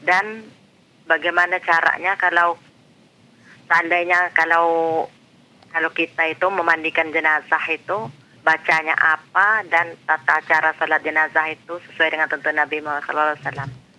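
Using a normal speaking voice, a man talks at a moderate pace, fairly high in pitch with fairly even intonation. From Cianjur, West Java, Indonesia; West Java, Indonesia. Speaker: caller. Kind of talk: phone-in question. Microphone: phone line.

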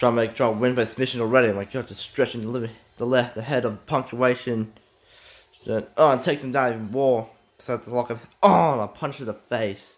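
An ordinary speaking voice at a fairly quick pace. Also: man, medium pitch for a man. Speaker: hobbyist wrestling-game commentator. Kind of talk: amateur play-by-play wrestling commentary over a simulated match. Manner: excitable, rapid-fire blow-by-blow exclamations; stumbling, repetitive phrasing with filler restarts.

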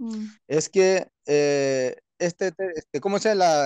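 The background is quiet. The pitch varies in an ordinary way. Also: man, dry sound with no echo. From Peruvian Amazon, Wampís nation; Peru. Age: 30s. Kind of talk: interview. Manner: halting, many fillers. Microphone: phone near.

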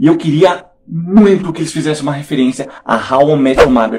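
A man speaks over light background noise. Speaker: youtuber reviewing a TV series. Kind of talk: casual vlog commentary. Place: home room. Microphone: studio mic.

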